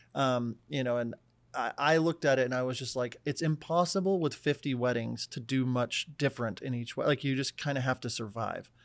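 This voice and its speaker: A man with a normal speaking voice at a medium pitch. He talks at a fairly quick pace with ordinary pitch variation. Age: 30s. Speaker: wedding filmmaker and educator. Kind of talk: casual chat.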